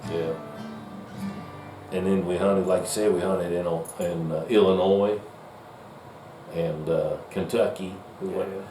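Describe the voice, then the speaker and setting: A man talks at a moderate pace with a Southern US accent and a fairly low pitch. Noticeable background noise runs behind him. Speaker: deer hunter. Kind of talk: interview conversation.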